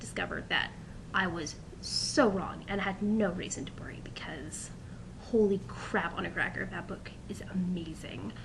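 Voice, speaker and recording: A woman whispers at a fairly slow pace. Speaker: college student. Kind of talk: casual talk to camera.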